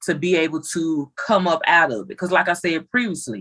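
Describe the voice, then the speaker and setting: A woman with an unremarkable speaking voice, fairly low pitch, lively intonation and a moderate pace. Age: 30s. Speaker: family member guest. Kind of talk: casual chat.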